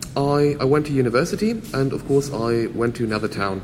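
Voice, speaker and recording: This man speaks with a German accent at a fairly high pitch for a man. Noticeable background noise runs underneath. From Germany. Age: 20s. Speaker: physicist and karate instructor. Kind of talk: interview. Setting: hotel lobby.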